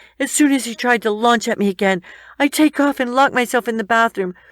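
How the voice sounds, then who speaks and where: In a plain, everyday voice, a woman speaks at a moderate pace and fairly high pitch on a very clean recording with a silent background. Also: dry, close sound with no echo. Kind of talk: emotional first-person story narration.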